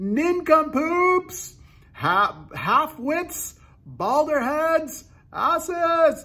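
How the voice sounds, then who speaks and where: High-pitched put-on character voice, raised and projected, shouting at a very slow pace. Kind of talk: insulting. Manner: yelling.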